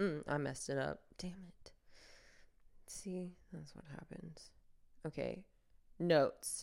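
A woman talks very slowly with long, frequent pauses, and her loudness swings widely. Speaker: podcaster. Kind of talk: casual solo monologue. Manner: rambling, self-deprecating.

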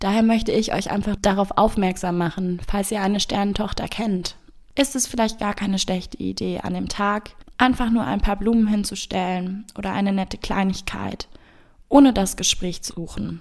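Here a woman uses an unremarkable speaking voice at a medium pitch. Her intonation is fairly even and her pace is moderate. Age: 20s. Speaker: podcast guest. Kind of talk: storytelling.

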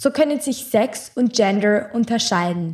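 An ordinary speaking voice from a woman with fairly high pitch at a moderate pace. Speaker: podcast host. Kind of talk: reading aloud; casual chat.

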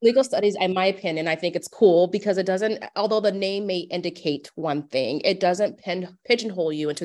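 In an American accent, a woman with an unremarkable speaking voice talks at a fairly quick pace with hardly any pauses, a medium pitch and ordinary pitch variation over a quiet background. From US Midwest, Omaha, Nebraska. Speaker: professor. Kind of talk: interview.

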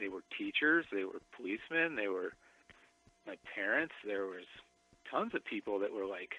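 Music plays in the background as a man with an American accent talks at a fairly slow pace. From South Dakota, US. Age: 40s. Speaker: tattoo shop owner. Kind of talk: interview about recovery.

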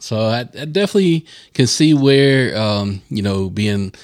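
A man with a Southern US accent. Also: very clean recording, silent background. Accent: Southern American. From US South, North Carolina. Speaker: podcast host. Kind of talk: casual chat.

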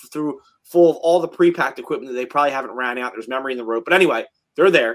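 A man with an American accent speaks at a fairly high pitch with ordinary variation. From South Jersey, US. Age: 30s. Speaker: fire captain and instructor. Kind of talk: casual chat.

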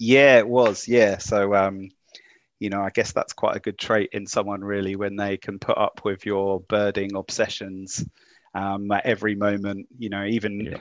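The man's fairly low voice comes at a moderate pace with monotone, flat intonation, the sound dry and close with no echo over a quiet background. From UK. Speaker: birder doing a big year; market researcher. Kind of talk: interview conversation.

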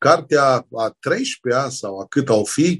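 A man's fairly high, somewhat breathy voice moves with ordinary pitch variation. The sound is dry and close with no echo, against a quiet background. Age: 60s. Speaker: pastor and author. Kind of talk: religious interview.

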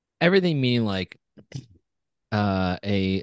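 A man with an American accent speaks at a fairly slow pace. The sound is dry and close with no echo, over a quiet background. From Orange County, California. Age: 30s. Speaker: podcast co-host, former baseball player. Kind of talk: casual chat. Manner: hesitant, many fillers and repetitions.

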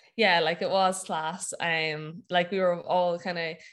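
A woman speaks with a Wexford Irish accent. Her intonation is monotone and flat against a quiet background. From Ireland, County Wexford. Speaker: CrossFit athlete and gym owner. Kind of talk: casual interview. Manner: hesitant, many fillers.

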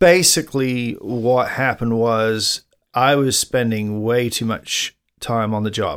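A man speaks with an English accent at a fairly slow pace. His pitch varies in an ordinary way. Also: medium pitch for a man, very clean recording, silent background. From England. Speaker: podcast co-host. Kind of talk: casual chat.

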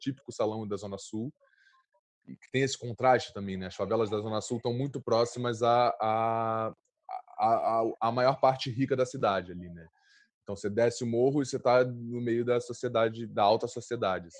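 Big swings in loudness mark this man's speech at a moderate pace. His pitch is medium, with fairly even intonation. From Brazil, Rio de Janeiro (Santa Marta favela). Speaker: actor. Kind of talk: interview. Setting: at home during quarantine.

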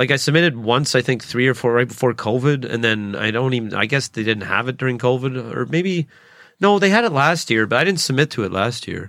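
A man with a Canadian accent at medium pitch, lively intonation and a fairly quick pace, in a very clean recording with a silent background. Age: 30s. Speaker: stand-up comedian. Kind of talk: solo podcast monologue. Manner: fast talker; halting.

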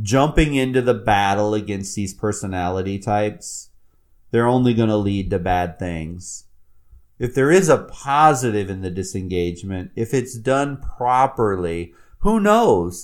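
With ordinary pitch variation and a fairly low pitch, a man speaks at a fairly slow pace in a very clean recording with a silent background. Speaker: podcast host and humanities professor. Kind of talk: solo podcast commentary.

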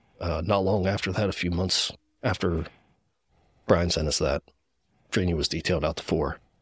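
A man with an American accent speaks in a very deep, low, somewhat breathy voice with fairly even intonation. He leaves long, frequent pauses on a very clean recording with a silent background. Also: moderate pace. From Gettysburg, Pennsylvania. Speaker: firefighter. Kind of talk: testimony.

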